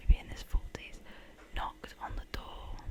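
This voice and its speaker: A woman is whispering while noticeable background noise plays. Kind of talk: ASMR story reading of scary Reddit stories to camera.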